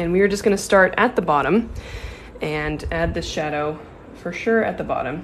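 Speaking at a moderate pace with an American accent, a woman with a fairly low pitch comes through over light background noise. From US Pacific Northwest, Seattle. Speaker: watercolor artist; art instructor. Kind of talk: tutorial. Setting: livestream. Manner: casual with frequent filler ums. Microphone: phone near.

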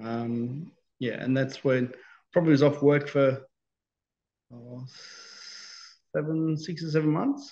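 A man with an Australian accent has a dark, mellow tone and fairly even intonation, talking at a fairly slow pace with long, frequent pauses. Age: 50s. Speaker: stroke survivor. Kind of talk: interview. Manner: halting, many fillers and repetitions. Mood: calm, reflective. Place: home room. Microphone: video call.

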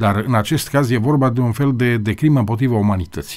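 Here a man speaks at a fairly quick pace. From Romania. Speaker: TV host. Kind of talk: interview discussion on TV. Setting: TV studio. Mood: earnest, critical. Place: studio. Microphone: studio mic.

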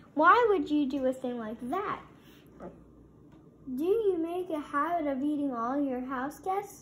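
A woman's shrill, high-pitched put-on character voice at a fairly slow pace. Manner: shrill, outraged.

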